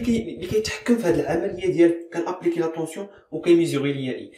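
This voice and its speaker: Speaking at a very fast pace with very wide pitch swings, a man is heard with audible room echo and light background noise. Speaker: chemistry teacher. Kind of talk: educational lecture. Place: classroom. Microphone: phone near.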